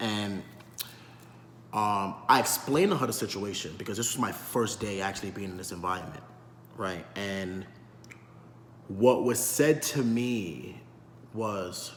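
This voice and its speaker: In a New York accent, the speaker goes at a fairly slow pace with long, frequent pauses and ordinary pitch variation, with audible room echo and noticeable background noise. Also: man, fairly low pitch for a man. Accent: New York City. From New York City, South Bronx. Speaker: vlogger. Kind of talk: monologue commentary. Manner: articulate; repetitive fillers.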